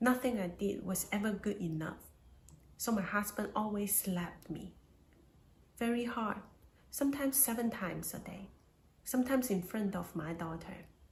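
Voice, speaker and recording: Spoken at a moderate pace with a Chinese accent, the voice has ordinary pitch variation and long, frequent pauses, with audible echo in the room. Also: woman, medium pitch for a woman. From China. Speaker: domestic violence survivor. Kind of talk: testimony.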